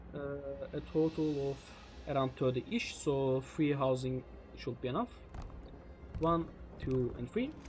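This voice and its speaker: A man speaks with a non-native accent at a fairly slow pace. Long, frequent pauses break up his speech. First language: not English. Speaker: gaming youtuber. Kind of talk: gameplay commentary.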